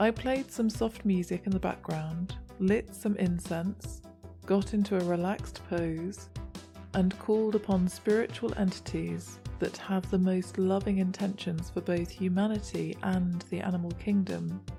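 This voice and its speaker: A woman's voice at a fairly slow pace, very even in loudness, over background music. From British. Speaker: voice actor. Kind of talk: personalised tarot reading narration. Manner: friendly.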